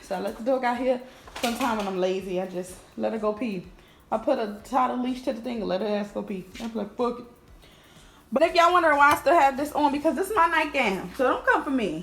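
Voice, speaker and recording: Very fast delivery with lively intonation. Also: woman, high pitch for a woman. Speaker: lifestyle vlogger. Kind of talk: casual vlog talk. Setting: at home.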